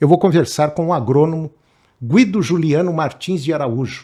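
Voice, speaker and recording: Dark and mellow in tone, a man speaks with a fairly high pitch and lively intonation. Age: 70s. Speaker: podcast host. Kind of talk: interview podcast.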